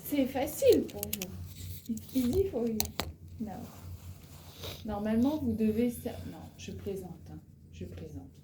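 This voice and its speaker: Speaking very slowly with long, frequent pauses, a woman's loudness swings widely in a recording with audible room echo and noticeable background noise. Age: 40s. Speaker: French teacher. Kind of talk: language lesson. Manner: slow, repeating words and translating into English.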